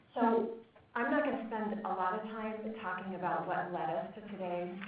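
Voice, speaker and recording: A woman speaks at medium pitch and a moderate pace with ordinary pitch variation. Audible room echo and noticeable background noise are present. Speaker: nonprofit executive director. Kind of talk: conference opening remarks. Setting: meeting room with audience, microphone.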